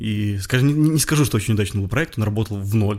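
Talking at a very fast pace, a man uses a fairly low pitch and sounds somewhat breathy. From Belarus, Bobruisk. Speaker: clothing brand founder. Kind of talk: interview.

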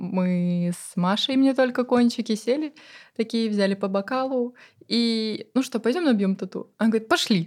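Here is a woman with a plain, everyday voice and ordinary pitch variation. Her pace is moderate, and the recording is very clean with a silent background. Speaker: course curator and channel author. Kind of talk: casual chat. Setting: studio.

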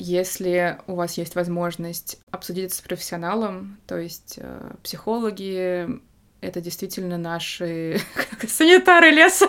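A woman speaks at a fairly slow pace with a fairly low pitch, a bright, sharp tone, and fairly even intonation. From Moscow, Russia. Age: 30s. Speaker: film photographer. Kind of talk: casual interview chat.

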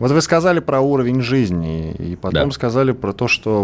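A man talks at a fairly quick pace in a plain, everyday voice, his intonation lively. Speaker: radio host. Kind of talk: radio interview. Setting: studio.

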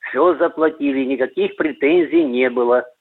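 The pace is fairly slow. A man is talking, with ordinary pitch variation. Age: 60s. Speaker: retired army officer, caller. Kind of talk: call-in question. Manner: halting.

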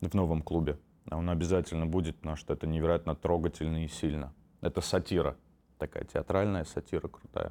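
A man's very deep, low voice in monotone, flat intonation at a fairly quick pace. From Armenian family, raised in Moscow from age 4. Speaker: stand-up comedian and producer. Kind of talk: casual interview.

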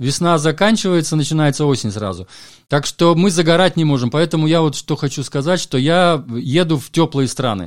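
A man speaks in a normal speaking voice at a fairly high pitch. His pace is moderate, with ordinary pitch variation. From Latvia, Valka on the Estonian border. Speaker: jazz music critic and DJ. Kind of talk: interview conversation.

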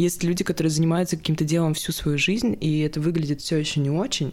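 Her voice is very deep and low in pitch as this woman talks at a moderate pace with ordinary pitch variation. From Saint Petersburg, Russia. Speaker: beginner photographer. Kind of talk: casual chat.

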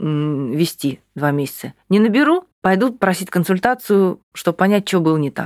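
A woman with an unremarkable speaking voice, medium pitch and lively intonation, at a moderate pace with hardly any pauses, in a dry, close sound with no echo. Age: 30s. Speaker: English teacher. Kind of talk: coaching session.

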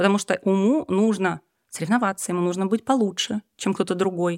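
In a very clean recording with a silent background and a dry, close sound with no echo, a woman speaks at a moderate pace in a medium pitch, an ordinary speaking voice. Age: 30s. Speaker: musician and yoga teacher. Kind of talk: casual chat.

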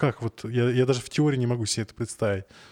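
In a very clean recording with a silent background and a dry, close sound with no echo, a man speaks at a medium pitch with fairly even intonation and a dark, mellow tone. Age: 30s. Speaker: podcast host. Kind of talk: casual chat.

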